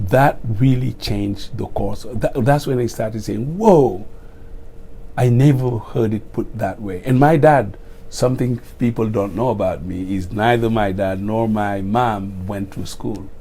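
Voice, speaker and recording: A man with a Senegalese accent speaks at a medium pitch in a dark, mellow tone. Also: ordinary pitch variation, fairly slow pace. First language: Wolof. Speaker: retiring school principal. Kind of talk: interview.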